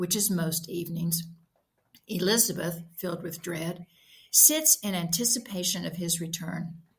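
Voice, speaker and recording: A woman with a somewhat breathy, fairly low-pitched voice talks at a moderate pace with ordinary pitch variation. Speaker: author reading own story. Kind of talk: short fiction reading.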